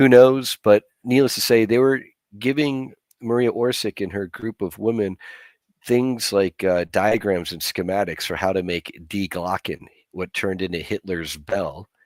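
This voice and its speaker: An unremarkable speaking voice from a man, fairly low in pitch with ordinary pitch variation at a moderate pace, dry and close with no echo on a very clean recording with a silent background. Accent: American. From US, Chinese American family. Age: 50s. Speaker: disclosure movement activist. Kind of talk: podcast interview. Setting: livestream.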